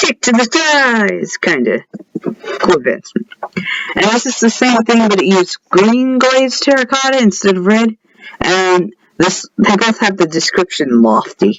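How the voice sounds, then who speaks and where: A man with a high pitch and lively intonation talks at a fairly slow pace. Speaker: gaming youtuber. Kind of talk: gameplay showcase. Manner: casual.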